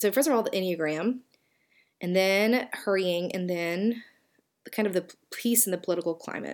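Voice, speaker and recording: With a Southern US accent, a woman speaks at a moderate pace and medium pitch, with ordinary pitch variation and long, frequent pauses. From US South. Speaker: podcast host and author. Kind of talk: solo podcast talk. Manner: casual, conversational.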